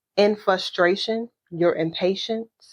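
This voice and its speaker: Her pace is very slow. The woman's pitch sits in the medium range. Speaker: podcast host. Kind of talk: motivational talk.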